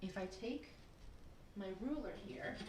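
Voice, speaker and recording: A somewhat breathy voice with a dark, mellow tone and audible room echo. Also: woman. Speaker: preschool teacher. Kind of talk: online lesson for young children. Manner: animated.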